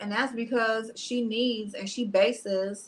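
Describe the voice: A woman speaks at a medium pitch with a fairly bright tone and fairly even intonation.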